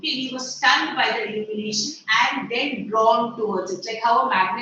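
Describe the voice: Someone reads plainly aloud, the pitch rising and falling in an ordinary way.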